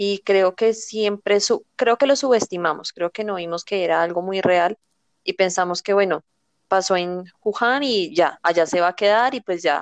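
A woman speaks in a normal speaking voice at a medium pitch and a moderate pace. The sound is dry and close with no echo, and the background is quiet. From Colombia, near Bogotá. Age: 20s. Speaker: flight attendant. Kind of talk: casual chat.

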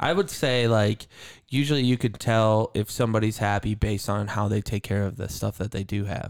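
On a very clean recording with a silent background, a man with a plain, everyday voice speaks fairly quickly at a fairly low pitch with fairly even intonation. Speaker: podcast host. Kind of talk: casual chat. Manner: casual, profane.

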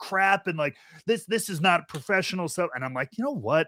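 A man projects a raised, high-pitched voice at a moderate pace, bright and sharp in tone, with lively intonation and a dry, close sound with no echo. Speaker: podcast host. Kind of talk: casual chat.

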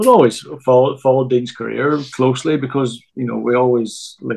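This man has a Northern Irish accent and a medium pitch. He talks at a moderate pace with fairly even intonation. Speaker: football coach. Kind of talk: casual chat. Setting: remote from home.

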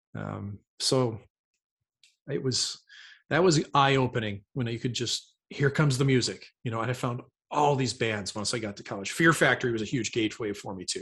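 Someone talks at a fairly quick pace with ordinary pitch variation against a quiet background. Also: man. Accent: American. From US Midwest, St. Louis area. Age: 30s. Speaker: retired hockey goalie. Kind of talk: casual chat.

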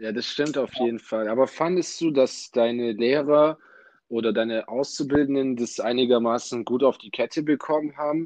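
A man with an unremarkable speaking voice talks with fairly even intonation and big swings in loudness against a quiet background. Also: medium pitch for a man, moderate pace. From Ulm, southern Germany. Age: 20s. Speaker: university student and podcast host. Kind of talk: casual interview podcast.

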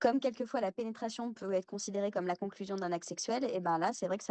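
In a dry, close sound with no echo, a woman speaks in a dark, mellow tone with ordinary pitch variation. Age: 30s. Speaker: guest sharing personal testimony. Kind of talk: testimony.

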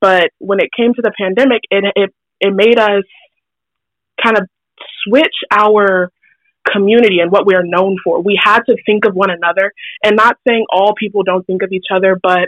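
A woman talks in a normal speaking voice at medium pitch. Her pace is fairly quick and her intonation fairly even. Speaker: public health student. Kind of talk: interview. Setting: phone call.

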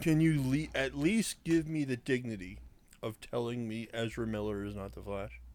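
Big swings in loudness mark this man's delivery, which has a medium pitch, moderate pace and lively intonation. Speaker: podcast co-host. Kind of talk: casual chat. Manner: animated.

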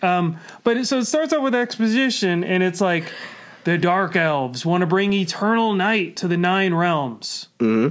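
This man has a high pitch and lively intonation. He keeps a moderate pace at very even loudness. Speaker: comedian. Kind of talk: casual chat. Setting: studio.

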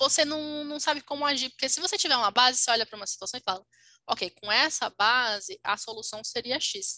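A woman's raised, projected voice at a high pitch and fairly quick pace, bright and sharp in tone, with big swings in loudness and a dry, close sound with no echo. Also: lively intonation. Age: 20s. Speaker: podcast co-host. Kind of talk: casual chat.

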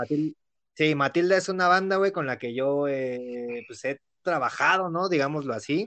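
A man in a Mexican accent talks fairly slowly, his tone bright and sharp and his fairly high pitch varying in an ordinary way. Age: 20s. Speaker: podcast host. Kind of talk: casual chat.

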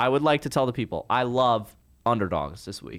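Recorded very cleanly over a silent background, a man of medium pitch speaks at a moderate pace in a plain, everyday voice. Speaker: podcast co-host. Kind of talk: casual sports chat. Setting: studio.

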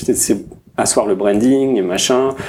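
Dark and mellow in tone, a man's voice holds a medium pitch. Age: 30s. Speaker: product designer. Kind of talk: casual chat.

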